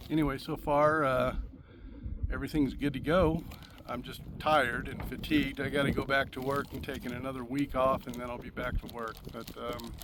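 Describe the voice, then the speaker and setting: With an American accent, a man speaks in a monotone, flat intonation while his loudness swings widely. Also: medium pitch for a man, moderate pace. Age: 60s. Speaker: firearms youtuber. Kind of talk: casual vlog talk to camera. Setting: outdoors at shooting range. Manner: halting, many fillers.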